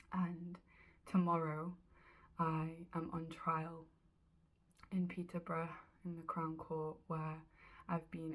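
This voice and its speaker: Somewhat breathy and fairly low in pitch, a woman with a Geordie accent talks at a fairly slow pace in a monotone, flat intonation. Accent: Geordie (Newcastle English). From northeast England, Newcastle. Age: 20s. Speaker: animal rights activist. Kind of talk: personal video diary. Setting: in her room. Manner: hesitant, with fillers.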